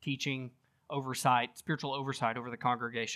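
A man with a Southern US accent at a fairly quick pace, on a very clean recording with a silent background. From US South. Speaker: pastor. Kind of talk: sermon.

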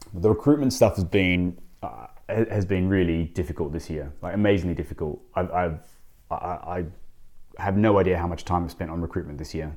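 Very deep and low in pitch, a man with an Australian accent speaks at a fairly quick pace with ordinary pitch variation on a very clean recording with a silent background. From Australia, Sydney. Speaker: restaurant owner, former lawyer. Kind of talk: interview. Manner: halting, many fillers and repeats.

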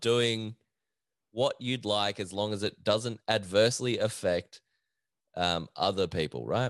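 Speaking very slowly at a medium pitch, a man with an Australian accent is recorded with a dry, close sound, no echo and a quiet background. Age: 20s. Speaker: podcast host. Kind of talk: casual solo chat. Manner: laughs often.

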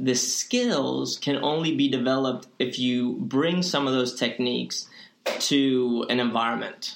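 The speech moves at a fairly slow pace with very even loudness over noticeable background noise. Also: man, medium pitch for a man, ordinary pitch variation. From Spain. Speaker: fitness coach and movement specialist. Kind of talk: casual interview chat. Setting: studio.

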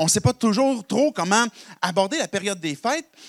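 Over a silent background in a very clean recording, a man with a Quebec accent speaks at a moderate pace with lively intonation, the sound dry and close with no echo. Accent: Québécois French. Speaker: pastor. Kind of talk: sermon. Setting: church service in a college hall. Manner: halting, many repetitions and fillers.

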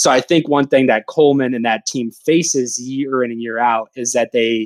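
An ordinary speaking voice from a man, medium in pitch, at a moderate pace with fairly even intonation. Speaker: sports fan engagement staffer. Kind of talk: casual chat.

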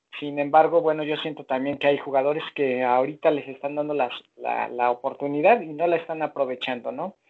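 The speaker has a plain, everyday voice, moving at a fairly quick pace with fairly even intonation and hardly any pauses. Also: man, fairly high pitch for a man. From Mexico. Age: 40s. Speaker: football fan. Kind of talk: casual chat.

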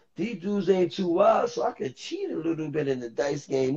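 A man speaks at a moderate pace in an animated tone, his voice pitched high. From New York City (Harlem and the Bronx). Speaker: former streetball player. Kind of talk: casual interview.

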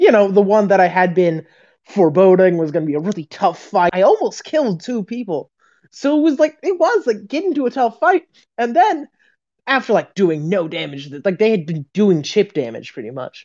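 Over a quiet background, a woman with a dark, mellow tone and medium pitch makes very wide pitch swings. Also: moderate pace. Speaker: podcast co-host. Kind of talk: casual chat. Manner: chatty, animated, laughs often.

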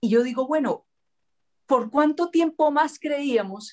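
At a fairly slow pace, a woman speaks with a high pitch and lively intonation. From Colombia, Cali. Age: 50s. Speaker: public figure, interviewer. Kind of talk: casual interview chat.

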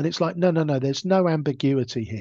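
With a southern English accent, a man speaks at a moderate pace with a fairly high pitch and lively intonation. The sound is dry and close with no echo against a quiet background. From southern England, Hampshire (Gosport). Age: 50s. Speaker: blind cricketer. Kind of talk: interview.

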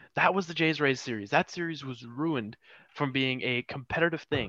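Against a quiet background, a man with a fairly high pitch and a bright, sharp tone speaks. His pace is moderate, and the sound is dry and close with no echo. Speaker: podcast host. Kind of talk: casual sports chat.

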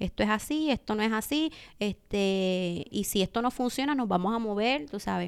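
In a very clean recording with a silent background, a woman with an unremarkable speaking voice talks at a moderate pace, fairly high in pitch with lively intonation. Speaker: e-commerce specialist and entrepreneur. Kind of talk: interview.

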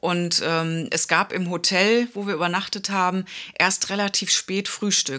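With a bright, sharp tone, this woman's voice sits at a medium pitch. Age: 50s. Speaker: podcast co-host with type 1 diabetes. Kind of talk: casual chat.

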